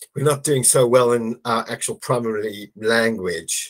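A man speaks with an English accent at a fairly slow pace. His pitch is medium, his intonation fairly even, and the background quiet. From England. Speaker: SEO consultant. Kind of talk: casual chat. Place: home room.

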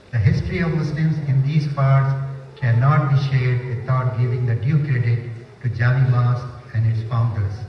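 A man talks at a medium pitch with fairly even intonation. The recording has audible room echo and light background noise. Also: moderate pace. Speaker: mosque administrator. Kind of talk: prepared speech. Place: hall.

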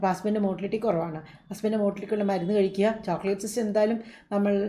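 Her voice has a dark, mellow tone, and this woman speaks at medium pitch with fairly even intonation. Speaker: doctor answering viewer questions. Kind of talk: live Q&A. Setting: live stream. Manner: warm, conversational.

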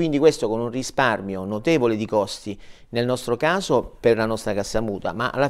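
Against a quiet background, a man speaks at medium pitch. He goes at a fairly quick pace with ordinary pitch variation. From southern Italy, Matera (Basilicata); Basilicata, Italy. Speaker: director of a dental mutual fund; guest. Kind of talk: TV interview. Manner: halting, repeats words. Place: studio. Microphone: lapel.

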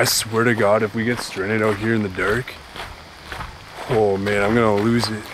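Over noticeable background noise, a man speaks in a monotone, flat way. The sound is dry, with no echo. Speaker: ghost-hunting vlogger. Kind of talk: casual vlog chat. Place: forest.

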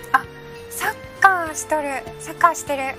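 Clear background music under a woman's moderately paced speech. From Hakata, Fukuoka. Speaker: weather presenter. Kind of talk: live weather broadcast commentary. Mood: light, amused, chatty. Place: studio.

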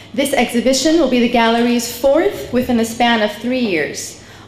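A high-pitched woman's voice at a moderate pace, with audible room echo and light background noise. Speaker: event host. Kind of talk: formal welcome speech. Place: hall.

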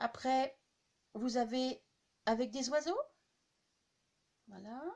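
At a slow pace, a woman speaks in a high pitch with vocal fry, ordinary pitch variation and a slightly mellow tone.

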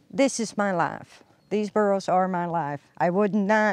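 A woman's voice, dry with no echo, faint music in the background. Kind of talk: interview answer. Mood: heartfelt, emotional. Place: open country.

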